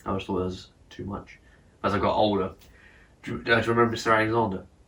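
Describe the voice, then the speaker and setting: At a very fast pace, a man with a fairly low pitch speaks in a bright, sharp tone with vocal fry, monotone, flat intonation and big swings in loudness. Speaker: podcast host. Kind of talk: casual chat.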